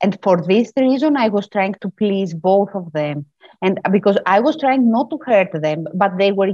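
The voice carries a Greek accent and a dark, mellow tone. The sound is dry and close, with no echo. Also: woman. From Greece. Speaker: mediator and author. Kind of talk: interview. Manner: halting.

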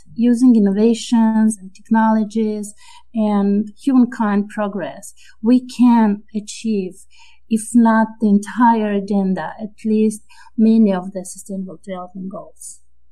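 Her tone is dark and mellow, somewhat breathy. The woman speaks at a fairly slow pace with fairly even intonation. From Moldova. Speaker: World Bank officer. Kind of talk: interview.

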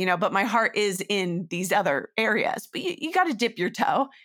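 A woman's mid-range voice races along very quickly. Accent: Californian. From Northern California. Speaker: voice actor. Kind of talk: casual chat.

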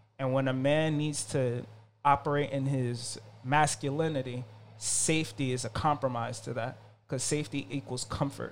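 In an ordinary speaking voice, a man talks at a medium pitch and a moderate pace with fairly even intonation. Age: 30s. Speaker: herbalist and spiritual guide. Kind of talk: casual chat.

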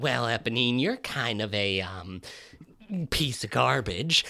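A man's put-on character voice at a medium pitch and fairly slow pace. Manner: punchy.

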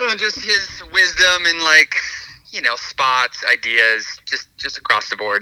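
The recording is dry and close, without any echo. A man's voice is heard. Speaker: skate company owner. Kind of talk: casual interview.

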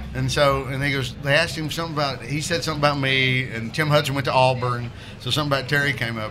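A very fast, monotone, flat delivery in a Southern US accent, with audible room echo and noticeable background noise. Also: man, fairly high pitch for a man. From Alabama. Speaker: comedian. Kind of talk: casual chat. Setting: beer bar.

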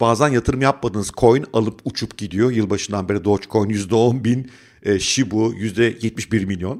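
A man with an unremarkable speaking voice at medium pitch, ordinary pitch variation, and moderate pace, in a very clean recording with a silent background. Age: 50s. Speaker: finance YouTuber and investment educator. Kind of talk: scripted monologue.

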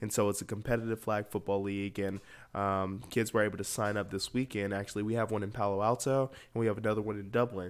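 A man in an American accent, very fast, fairly low in pitch and monotone and flat, in a very clean recording with a silent background. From US South, Atlanta, Georgia. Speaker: youth football community worker and DJ. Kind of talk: interview.

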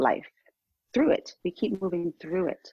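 Speaking with an American accent and ordinary pitch variation, the voice comes through in a dry, close sound with no echo. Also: woman. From New York City. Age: 50s. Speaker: author and transgender advocate. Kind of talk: interview.

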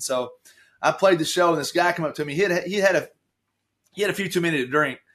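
A man's voice at a very fast pace. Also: quiet background. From Kentucky, Taylorsville. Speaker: country singer-songwriter. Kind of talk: casual interview chat. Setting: remote call from home.

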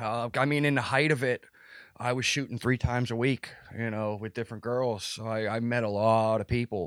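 An American accent at a moderate pace with fairly even intonation, dry and close with no echo, on a very clean recording with a silent background. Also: man, medium pitch for a man. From Pittsburgh, US. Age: 30s. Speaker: maintenance worker and former adult film performer. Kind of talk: casual interview. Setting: at home. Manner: halting.

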